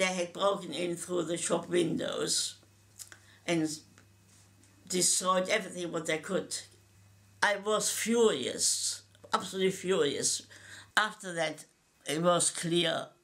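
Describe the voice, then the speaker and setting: Speaking with a German accent, a woman talks very slowly with long, frequent pauses, her fairly low pitch held in fairly even intonation. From Germany. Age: 80s+. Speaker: Holocaust survivor. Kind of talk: testimony. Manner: halting, with repetitions.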